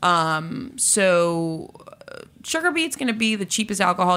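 A woman speaks at a moderate pace. Her pitch is fairly low. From Boston, US. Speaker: spirits company founder and bodybuilder. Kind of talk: interview conversation.

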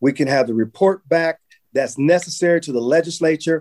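A man with an American accent and a dark, mellow tone talks at a fairly quick pace, in a dry, close sound with no echo. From Los Angeles, California (Watts). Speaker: state legislator. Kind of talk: interview.

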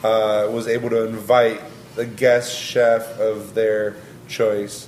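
Someone with an American accent speaks at a fairly slow pace. Noticeable background noise runs under the voice. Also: man. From Long Beach, California (Mexican family). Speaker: chef. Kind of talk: casual interview.

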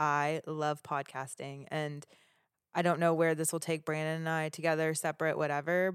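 A woman speaks in a very deep, low voice with a monotone, flat delivery. The recording is very clean, with a silent background. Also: moderate pace. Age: 30s. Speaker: podcast co-host. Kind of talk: casual chat.

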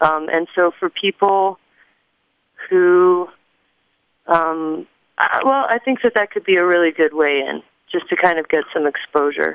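A woman at a fairly low pitch and fairly slow pace, with long, frequent pauses and ordinary pitch variation. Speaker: local food and land activist. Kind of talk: radio interview.

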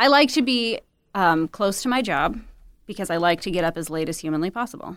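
A woman with a medium pitch speaks fairly quickly with lively intonation in an American accent. She has a normal speaking voice, and the recording is very clean with a silent background. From US Midwest, Windsor Heights, Iowa. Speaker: litigant, nonprofit worker with homeless adults. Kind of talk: casual chat.

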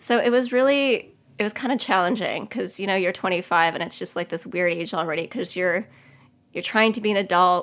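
Fairly quick and at medium pitch, a woman with an American accent uses a plain, everyday voice with ordinary pitch variation. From US Northeast (Long Island, New York). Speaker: pastry chef. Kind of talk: interview, personal testimony.

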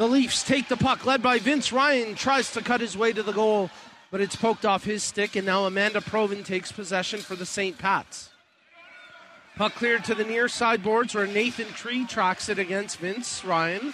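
A man speaks in a raised, projected voice at a high pitch and a moderate pace. His intonation stays fairly even, with noticeable background noise behind him. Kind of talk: live sports commentary (play-by-play).

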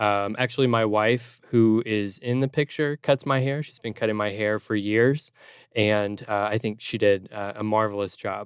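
A man's fairly low voice at a moderate pace, an ordinary speaking voice. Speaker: litigant in a mock court comedy show. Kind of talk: casual comedic testimony. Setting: remote studio.

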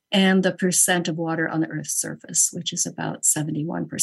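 Somewhat breathy, a woman speaks with fairly even intonation. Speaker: journal editor. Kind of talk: roundtable discussion. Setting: video call.

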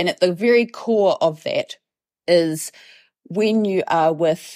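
A woman talks with a New Zealand accent and ordinary pitch variation. The sound is dry and close with no echo, in a very clean recording with a silent background. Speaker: professor and events researcher. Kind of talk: interview.

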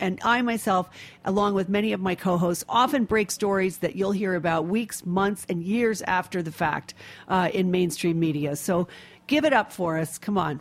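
A woman with a normal speaking voice, medium in pitch, with ordinary pitch variation. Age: 50s. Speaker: radio host. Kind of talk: radio interview; fundraising appeal.

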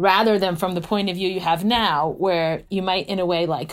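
A woman speaks in a normal speaking voice at a medium pitch. Her pace is fairly quick, with ordinary pitch variation. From United States, Hungarian-born (moved at six). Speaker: philosophy professor. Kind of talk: interview conversation.

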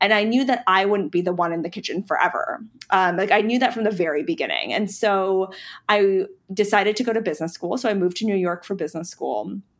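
A woman with an American accent speaks at a very fast pace in a very clean recording with a silent background. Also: medium pitch for a woman, ordinary pitch variation. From North Carolina, Charlotte. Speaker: ice cream company founder. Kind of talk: interview. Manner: hesitant, many fillers.

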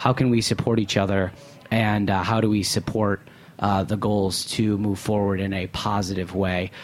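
A man talks at a moderate pace in a fairly low, monotone voice with flat intonation, over noticeable background noise. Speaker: food radio host. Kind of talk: interview. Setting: studio.

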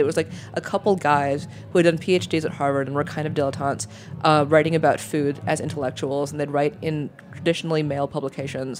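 A woman at a fairly quick pace with music in the background. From New York. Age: 30s. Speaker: food media editor. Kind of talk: casual interview.

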